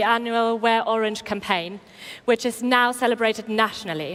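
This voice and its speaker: This woman's voice sits high in pitch. She talks at a moderate pace. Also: very clean recording, silent background. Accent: German. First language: German. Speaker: event presenter. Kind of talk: speaker introduction.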